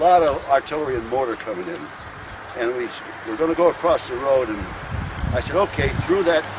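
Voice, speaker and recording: Someone with an American accent speaks at a fairly quick pace with lively intonation, over noticeable background noise. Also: man. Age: 70s. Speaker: retired army general, war veteran. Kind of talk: battlefield recollection, casual talk. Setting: outdoors.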